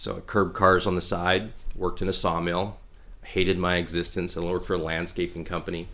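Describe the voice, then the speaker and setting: A man's very deep, low voice with a bright, sharp tone, a fairly quick pace and a Canadian prairie accent. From Saskatchewan, Canada (Regina). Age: 40s. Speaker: businessman and hunter. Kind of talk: casual interview.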